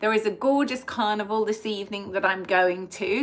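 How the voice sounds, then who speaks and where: Pitched fairly high, a woman speaks with an English accent. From England. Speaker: past life regression therapist. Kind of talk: live stream talk to viewers.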